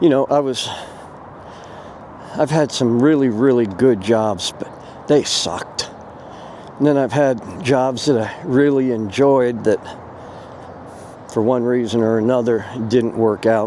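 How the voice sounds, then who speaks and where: Over noticeable background noise, a man with a medium pitch talks in a relaxed tone at a fairly slow pace, with ordinary pitch variation and long, frequent pauses. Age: 60s. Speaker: vlogger. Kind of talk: casual monologue vlog. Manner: relaxed, hesitant with fillers.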